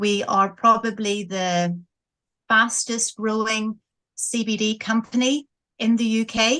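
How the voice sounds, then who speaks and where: In a Northern Irish accent, a woman talks with a fairly high pitch, a bright, sharp tone and fairly even intonation against a quiet background. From Northern Ireland, Coleraine. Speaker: business owner. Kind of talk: interview.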